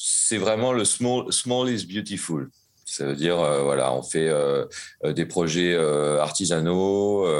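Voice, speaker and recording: A man speaks at a very slow pace in a very deep, low voice. His intonation is lively while his loudness stays very even. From France, Normandy (Caen). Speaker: jazz saxophonist. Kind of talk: interview. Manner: hesitant, many fillers.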